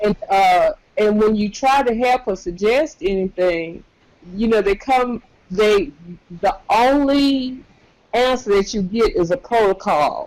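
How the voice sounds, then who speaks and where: A woman speaks with lively intonation at a fairly slow pace. Her loudness stays very even. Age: 60s. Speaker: community organizer and volunteer grandparent. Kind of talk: casual discussion. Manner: halting, repeats words.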